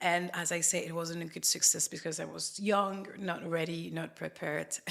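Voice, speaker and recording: With a French accent, a woman speaks at a fairly low pitch and moderate pace in monotone, flat intonation, with noticeable background noise. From France. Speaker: facialist. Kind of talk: interview. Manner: halting.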